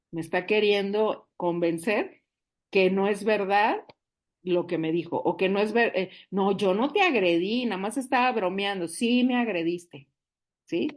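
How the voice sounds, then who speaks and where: Against a quiet background, the speaker has an animated tone, a fairly slow pace and ordinary pitch variation. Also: woman, medium pitch for a woman. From northern Mexico, Monterrey. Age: 60s. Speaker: support group speaker. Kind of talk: recovery group talk.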